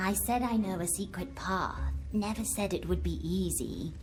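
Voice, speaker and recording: Clear background noise behind a female-sounding, put-on character voice at a moderate pace. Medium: video game. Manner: echoes others' words, teasing.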